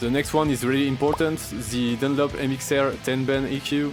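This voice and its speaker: Music plays in the background as a man talks at a moderate pace. He has a French accent and monotone, flat intonation. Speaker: grindcore guitarist. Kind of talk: gear breakdown talk to camera.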